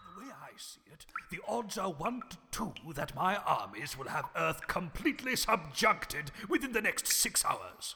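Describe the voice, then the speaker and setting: Putting on a character voice, a man talks at a high pitch. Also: moderate pace. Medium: audio drama. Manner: blustering, shouting.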